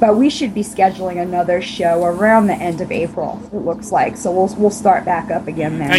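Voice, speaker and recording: A woman with an American accent talks at a moderate pace and a medium pitch, with ordinary pitch variation, hardly any pauses and noticeable background noise. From Long Island, New York. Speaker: podcast interview guest, rock band drummer. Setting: audio chat interview.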